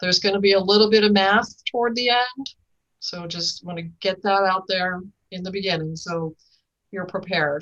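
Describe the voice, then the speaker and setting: A woman with a normal speaking voice talks at a moderate pace and medium pitch, her intonation fairly even but her loudness swinging a lot. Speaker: regional environmental agency director. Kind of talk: presentation at public board meeting.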